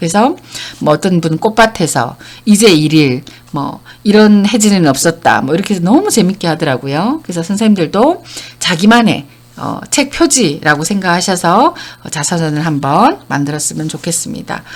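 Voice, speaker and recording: In an ordinary speaking voice, a woman with a fairly low pitch talks at a moderate pace with lively intonation. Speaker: counseling center director and lecturer. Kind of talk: online lecture.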